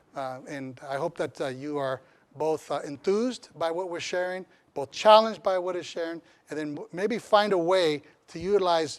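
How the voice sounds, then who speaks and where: Speaking with a Spanish accent, a man with a fairly high pitch keeps a moderate pace and ordinary pitch variation. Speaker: community college chancellor. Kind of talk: lecture.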